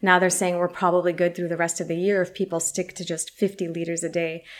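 Fairly quick speech from a woman with a fairly low voice and an American accent. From US West Coast, San Francisco. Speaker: journalist and video presenter. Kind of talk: casual interview chat.

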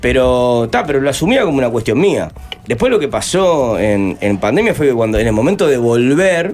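With music in the background, a man of medium pitch talks at a moderate pace, his pitch swinging very widely. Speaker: musician and former cook. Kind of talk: interview.

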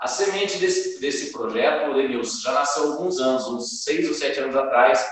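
The voice belongs to a man. Audible room echo surrounds it. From Brazil, Silveiras (São Paulo state). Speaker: band leader, singer and guitarist. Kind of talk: interview.

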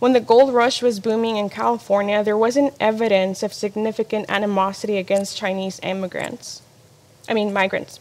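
A woman at a moderate pace with monotone, flat intonation. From Mexico-born, raised in US from age three. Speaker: ministry apprentice. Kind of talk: personal testimony talk.

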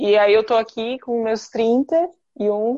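Against a quiet background, a woman speaks with a fairly high pitch, a dark, mellow tone and fairly even intonation. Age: 30s. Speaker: podcast host, fashion entrepreneur. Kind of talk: casual group conversation.

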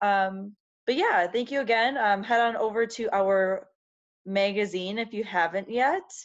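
At a fairly slow pace, a plain, everyday voice with an American accent shows ordinary pitch variation over a quiet background. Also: woman, fairly high pitch for a woman. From US Midwest, Wisconsin. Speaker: podcast co-host. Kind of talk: casual chat.

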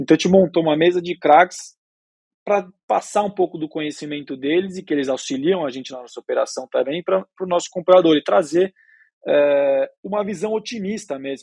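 A man with a high-pitched voice talks at a fairly quick pace, showing big swings in loudness and ordinary pitch variation. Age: 20s. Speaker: young cattle rancher and family business successor. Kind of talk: podcast interview. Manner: halting, many fillers.

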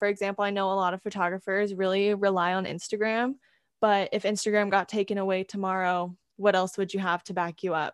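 A woman with a West Coast US accent speaks at a fairly quick pace and a medium pitch, in a monotone, flat intonation. The sound is dry and close with no echo, on a very clean recording with a silent background. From California. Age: 20s. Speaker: photographer and college student. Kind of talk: interview.

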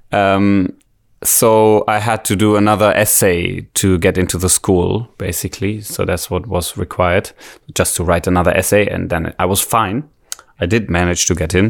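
A man speaks with a German accent at a fairly low pitch. His intonation stays fairly even. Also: moderate pace. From Germany. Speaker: musician. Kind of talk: casual chat.

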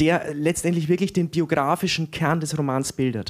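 A man talks in a plain, everyday voice at a fairly high pitch. His intonation is fairly even and his pace is moderate. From Franconia, Germany (Erlangen), raised in Weiden, Upper Palatinate. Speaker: novelist, writing teacher. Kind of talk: interview at live reading.

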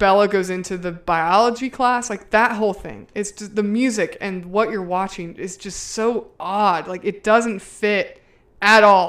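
This is an ordinary speaking voice, at a fairly slow pace with fairly even intonation. The recording is very clean, with a silent background. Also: woman. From US South. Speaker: podcast co-host. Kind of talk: casual chat.

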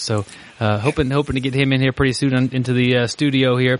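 A man speaks in an unremarkable speaking voice. His pitch is medium and his pace moderate. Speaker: podcast co-host. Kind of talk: casual chat.

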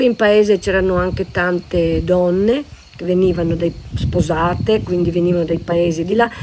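A woman's fairly low voice, with ordinary pitch variation, comes through noticeable background noise. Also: moderate pace. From Natisone valleys, Friuli (Mersino, Pulfero). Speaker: local resident sharing memories. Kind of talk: interview, personal recollection.

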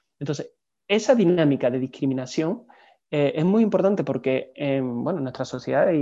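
A man's fairly high voice with a dark, mellow tone, ordinary pitch variation and a moderate pace, over a quiet background. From southern Spain, Seville. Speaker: museologist. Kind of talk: interview.

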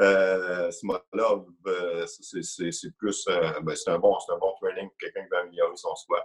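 A man speaks at a fairly slow pace in a Quebec accent, his loudness swinging widely. The sound is dry and close, with no echo. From Quebec, Lac-Mégantic. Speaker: amateur powerlifter. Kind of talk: casual interview.

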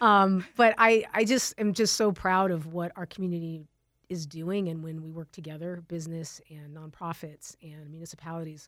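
With an American accent and a normal speaking voice, a woman speaks at a fairly low pitch and moderate pace, using ordinary pitch variation and big swings in loudness, in a very clean recording with a silent background. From Tucson, Arizona. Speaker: telecom company executive. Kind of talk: interview.

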